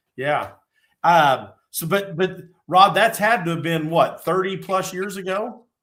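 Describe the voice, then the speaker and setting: A high-pitched man with a Midwestern US accent, a bright, sharp tone, fairly even intonation and a fairly slow pace. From Indiana. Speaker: fishing podcast co-host. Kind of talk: casual chat.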